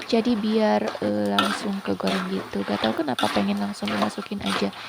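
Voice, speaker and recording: Fairly quick speech amid noticeable background noise. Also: woman. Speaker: home cooking vlogger. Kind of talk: cooking voice-over narration. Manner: casual, chatty.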